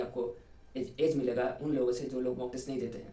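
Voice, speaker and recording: A man at a moderate pace, with audible room echo. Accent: Bengali. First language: Bengali (speaking Hindi). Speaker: engineering student, exam topper. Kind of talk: interview, study advice. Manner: halting, many fillers.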